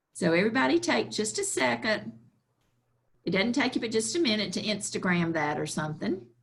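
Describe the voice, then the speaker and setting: A woman speaks at a medium pitch with a Southern US accent. Vocal fry runs through her voice. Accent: Southern US (Georgia). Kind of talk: workshop presentation. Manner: slow-paced.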